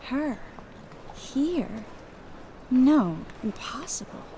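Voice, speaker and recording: In a put-on character voice, a woman speaks at a high pitch with lively intonation over clear background noise. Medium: video game.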